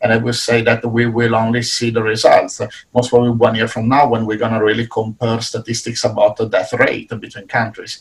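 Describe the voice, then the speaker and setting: In an Italian accent, a man speaks at a medium pitch and a fairly quick pace with hardly any pauses. His voice is somewhat breathy and his intonation monotone and flat. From Italy. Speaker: business professor. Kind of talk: panel discussion.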